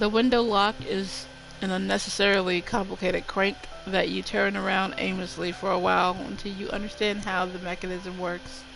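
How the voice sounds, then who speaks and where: A woman at a medium pitch and moderate pace, with audible room echo and music in the background. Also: fairly even intonation. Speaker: streamer. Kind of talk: reading aloud game text on stream. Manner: careful, avoids closing mouth fully.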